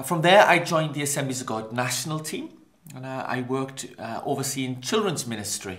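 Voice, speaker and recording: In a Welsh accent, a man talks at a fairly quick pace with big swings in loudness. His medium pitch shows ordinary pitch variation, and room echo is audible. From Wales, Maesteg near Swansea. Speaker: pastor. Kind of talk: interview.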